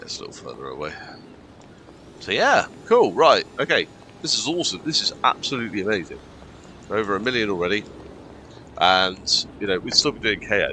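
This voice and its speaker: With an English accent, a man talks at a fairly quick pace, pausing long and often while his loudness swings widely. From England. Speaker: gaming streamer. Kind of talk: live gameplay commentary. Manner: casual with many fillers.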